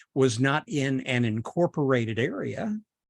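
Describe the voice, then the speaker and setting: The recording is very clean, with a silent background. A man with a Southern US accent speaks at a medium pitch with lively intonation. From US South, Chattanooga, Tennessee / North Georgia. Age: 70s. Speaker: podcaster. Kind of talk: personal storytelling monologue.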